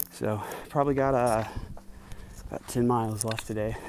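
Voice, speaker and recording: Noticeable background noise surrounds the speech. A man talks at a fairly quick pace and medium pitch with fairly even intonation. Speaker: thru-hiker vlogger. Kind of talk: hiking vlog, casual narration. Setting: outdoors on hiking trail. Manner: hesitant, filler words.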